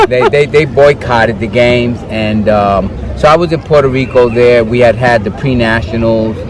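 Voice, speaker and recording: With crowd noise in the background, a man with an American accent speaks at a moderate pace in a medium pitch with ordinary pitch variation. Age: 60s. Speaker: running coach. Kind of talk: interview. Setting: outdoors at a running track. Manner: halting.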